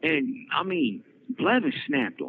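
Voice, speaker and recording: An animated tone with very wide pitch swings comes through in an American accent. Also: man. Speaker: prison inmate podcaster. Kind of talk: casual storytelling monologue. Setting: prison phone call. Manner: animated, repetitive stammering.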